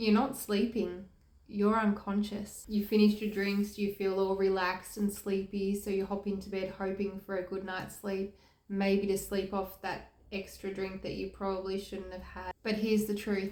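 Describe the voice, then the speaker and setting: This woman speaks at medium pitch with an Australian accent. Her pace is moderate and her intonation monotone and flat. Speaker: health and recovery youtuber. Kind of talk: informative vlog talk to camera.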